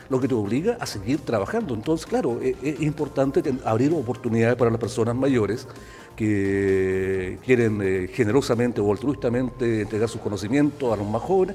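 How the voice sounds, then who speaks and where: A man's medium-pitched voice with a Chilean accent at a moderate pace, ordinary pitch variation, and noticeable background noise. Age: 60s. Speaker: TV host. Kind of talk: casual chat. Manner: animated.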